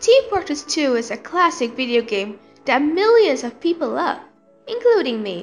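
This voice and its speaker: Over music in the background, a woman speaks at a moderate pace in a high voice with very wide pitch swings. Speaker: gaming commentator. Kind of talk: video game commentary.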